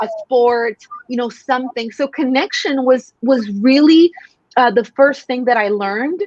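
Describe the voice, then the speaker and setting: The woman's voice sits high in pitch. She speaks at a fairly slow pace. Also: ordinary pitch variation, dry, close sound with no echo. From Mexico. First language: Spanish. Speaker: sales coach. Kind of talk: podcast interview.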